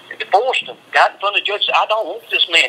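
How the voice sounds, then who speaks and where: An American accent comes through beneath noticeable background noise. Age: 50s. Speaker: death row inmate. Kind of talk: phone interview.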